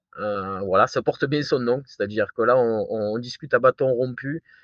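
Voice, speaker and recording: The speaker has a southern French accent and lively intonation. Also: man. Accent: southern French, sing-song. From southern France. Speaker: firefighter and new show host. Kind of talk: casual interview. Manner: hesitant, many fillers and repetitions.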